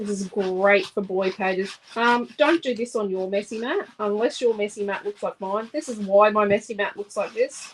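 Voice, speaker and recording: A woman speaks with a strong Australian accent. Her pitch is medium, with ordinary variation. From Australia, Central Queensland. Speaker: scrapbooking crafter and channel host. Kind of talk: live craft tutorial. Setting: live stream. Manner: casual, chatty.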